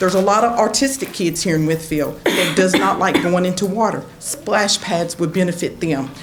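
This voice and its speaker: A woman with an Appalachian accent speaks at a moderate pace amid noticeable background noise and audible room echo. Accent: Appalachian Southern US. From southwest Virginia. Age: 60s. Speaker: resident speaking at public comment. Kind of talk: public comment at town council meeting. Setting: council chamber public meeting. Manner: animated.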